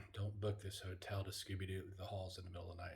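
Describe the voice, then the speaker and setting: Quiet and somewhat breathy, a man speaks with a dark, mellow tone at a fairly low pitch. His intonation is monotone and flat, and his pace is moderate. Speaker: paranormal travel vlogger. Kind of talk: casual vlog chat. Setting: hotel room. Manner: hushed, quiet.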